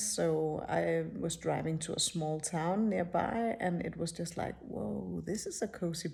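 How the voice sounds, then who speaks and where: A woman with a non-native accent talks at a fairly slow pace. Her tone is dark and mellow, and somewhat breathy. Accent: non-native English, rusty. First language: not English. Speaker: spiritual teacher, YouTuber. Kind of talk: casual personal talk to camera. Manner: halting, many fillers.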